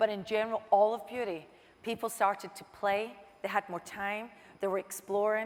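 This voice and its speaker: At a fairly quick pace, a woman speaks with monotone, flat intonation. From Scotland. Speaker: marketing executive. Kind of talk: interview. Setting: stage with audience.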